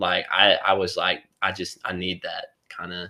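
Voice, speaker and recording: On a very clean recording with a silent background, a man with a Southern accent speaks at a fairly slow pace in a very deep, low pitch with a bright, sharp tone. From East Tennessee, Kingsport. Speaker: college student. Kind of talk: testimony. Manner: halting.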